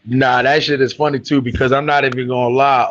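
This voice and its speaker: A man's medium-pitched voice with an American accent, moderate pace and flat, monotone intonation. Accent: New York accent with a lasting Southern tinge. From New York. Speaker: rapper. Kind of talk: casual chat.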